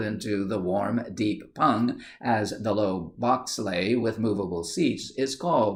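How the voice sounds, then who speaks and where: A man's plain, everyday voice, fairly low in pitch, with lively intonation. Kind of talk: audiobook reading.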